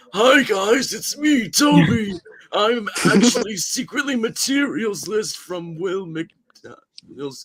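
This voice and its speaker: Using a put-on character voice, a man talks at a very slow pace with a high pitch. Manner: gravelly, creaky.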